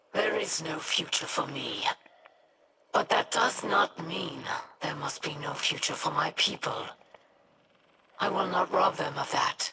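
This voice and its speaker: A raspy, put-on character voice at a middle pitch unfolds at a fairly slow pace. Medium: audio drama.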